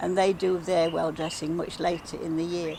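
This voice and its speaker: With a Derbyshire accent, a woman talks at a moderate pace over noticeable background noise. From England, Derbyshire (Belper). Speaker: village well dressing organiser. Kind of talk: casual interview.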